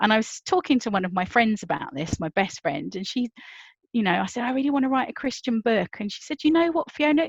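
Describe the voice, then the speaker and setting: A woman with a British accent talks very fast, her voice somewhat breathy and her pitch swinging very widely. The sound is dry and close with no echo, against a quiet background. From Britain. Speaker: novelist. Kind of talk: conference talk. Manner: conversational.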